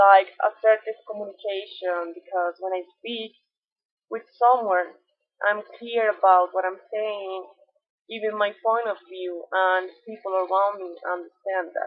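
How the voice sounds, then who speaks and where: A woman with a Colombian accent speaks at a fairly slow pace and medium pitch, with fairly even intonation but big swings in loudness. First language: Spanish. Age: 20s. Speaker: environmental engineer. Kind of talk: self-presentation. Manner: halting.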